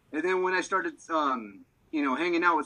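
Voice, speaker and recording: A man's raised, projected voice, high in pitch, bright and sharp in tone, with very wide pitch swings and a fairly quick pace. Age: 40s. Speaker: minister. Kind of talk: testimony.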